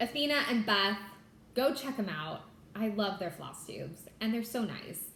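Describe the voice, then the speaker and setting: A bubbly-toned woman with fairly high pitch and ordinary pitch variation, at a fairly slow pace, with audible room echo and noticeable background noise. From California. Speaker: cross stitch vlogger and attorney. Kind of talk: casual chat.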